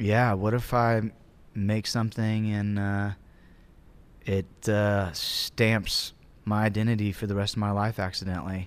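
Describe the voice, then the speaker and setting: A man with a Southern US accent speaks at a fairly slow pace in a fairly low, monotone, flat voice. He leaves long, frequent pauses, and the recording is very clean with a silent background. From US South, Georgia (Acworth, near Atlanta). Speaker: musician, band member. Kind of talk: casual interview chat.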